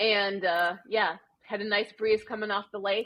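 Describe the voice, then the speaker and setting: With a Wisconsin accent, a woman talks at a fairly slow pace. Her voice sits at medium pitch with fairly even intonation. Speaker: amateur marathon runner. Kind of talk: casual interview. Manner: conversational with frequent fillers.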